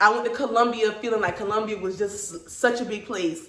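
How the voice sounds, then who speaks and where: Over noticeable background noise and audible room echo, a woman speaks at a fairly quick pace with a medium pitch and ordinary pitch variation. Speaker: hairstylist and salon owner. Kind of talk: casual interview. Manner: loud.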